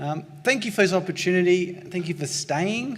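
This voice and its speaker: Talking at a fairly quick pace with a strong Australian accent, a man is heard with audible room echo. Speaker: pain researcher. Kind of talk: conference lecture. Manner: excitable.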